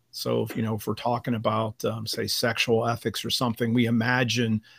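An unremarkable speaking voice talks at a moderate pace in a very clean recording with a silent background and a dry, close sound with no echo. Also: man. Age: 50s. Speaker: seminary professor of biblical studies. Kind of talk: interview conversation.

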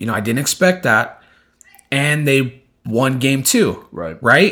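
The man's pitch swings very widely, and his tone is animated. He speaks at a fairly slow pace on a very clean recording with a silent background. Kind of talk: casual chat. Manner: animated, casual.

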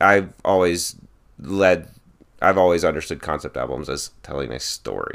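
Very deep, low male voice with vocal fry, ordinary pitch variation, big swings in loudness and a moderate pace. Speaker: podcast host. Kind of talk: casual chat.

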